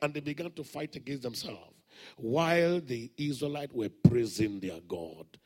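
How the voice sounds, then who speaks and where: With a Nigerian accent, a man speaks at a moderate pace in a fairly high pitch, his tone animated and his intonation lively. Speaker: preacher. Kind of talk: sermon with call-and-response to a live congregation. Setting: church. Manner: animated, loud, exhorting, repeatedly prompting the crowd to shout.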